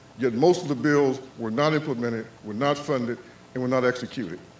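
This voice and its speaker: A man talks with an American accent and ordinary pitch variation. Noticeable background noise runs underneath. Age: 60s. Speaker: pastor and policy advocate. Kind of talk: public speech. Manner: impassioned.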